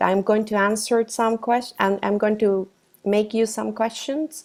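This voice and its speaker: With a Costa Rican accent, a woman speaks at a fairly high pitch. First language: Spanish. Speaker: professional coach. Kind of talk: workshop presentation. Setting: video call. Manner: halting, with fillers and self-corrections.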